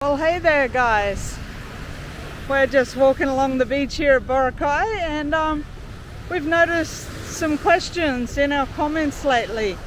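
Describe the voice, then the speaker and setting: Over noticeable background noise, a woman with a high voice speaks at a fairly slow pace with ordinary pitch variation. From Australia, Sydney. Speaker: travel vlogger. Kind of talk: casual chat. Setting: outdoors.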